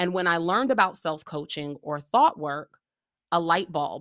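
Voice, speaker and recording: In a normal speaking voice, a woman talks at a fairly slow pace and fairly low pitch, with ordinary pitch variation, big swings in loudness, and a very clean recording over a silent background. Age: 30s. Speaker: podcast host and leadership coach. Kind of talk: monologue podcast intro.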